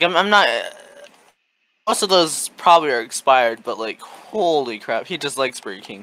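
Vocal fry runs through this man's fairly high voice, which has a bright, sharp tone. His pitch swings very widely. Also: moderate pace, big swings in loudness. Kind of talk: casual chat. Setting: video call.

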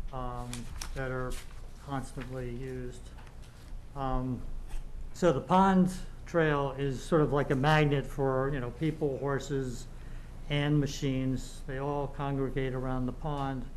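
Over light background noise, a man talks at a fairly slow pace in monotone, flat intonation, with long, frequent pauses. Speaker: local resident and trail volunteer; resident giving public comment. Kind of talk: public comment at town meeting. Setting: meeting room with microphones and audience. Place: meeting room. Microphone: podium.

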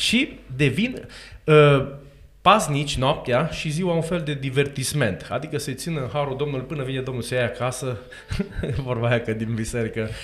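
This man's fairly high voice moves at a moderate pace, its pitch shifting in an ordinary way. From Romania. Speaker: co-host, church catechism teacher. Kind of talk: casual interview chat. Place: studio. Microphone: studio mic.

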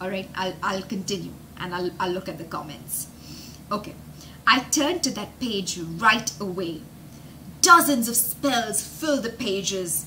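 Over light background noise, a woman talks at a moderate pace with an upbeat tone and lively intonation. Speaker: English teacher and storyteller for children. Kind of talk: live storytelling and vocabulary lesson. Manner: upbeat, explanatory, engaging. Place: home room. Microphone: webcam.

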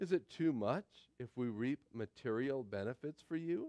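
A man speaks fairly slowly with a quiet background behind him. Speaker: pastor. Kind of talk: sermon scripture reading. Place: church.

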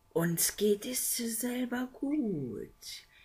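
A man puts on a character voice at an extremely high pitch with big pitch swings. He speaks at a very slow pace with a slightly mellow tone.

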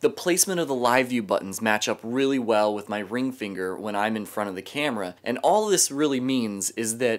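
A man talks at a fairly quick pace with ordinary pitch variation. He hardly pauses at all. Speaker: vlogger. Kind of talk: gear talk vlog.

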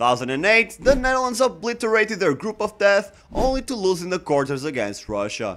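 A man speaks at a moderate pace with very wide pitch swings. He takes hardly any pauses. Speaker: football channel host. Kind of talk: commentary. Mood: wry, critical. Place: home room. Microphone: studio mic.

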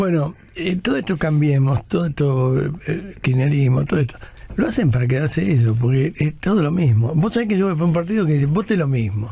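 A man's fairly quick speech with lively intonation and very even loudness. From Argentina (Buenos Aires). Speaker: radio host and monologist. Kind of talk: radio talk show, call-in editorial.

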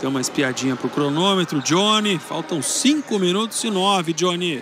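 High-pitched for a man, this voice has lively intonation. Noticeable background noise runs underneath. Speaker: play-by-play commentator. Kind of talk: live commentary.

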